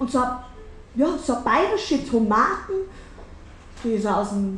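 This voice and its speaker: A woman speaks very slowly with a Bavarian accent. Her pitch is high and swings very widely. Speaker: cabaret artist. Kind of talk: cabaret stage performance. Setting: live stage with audience.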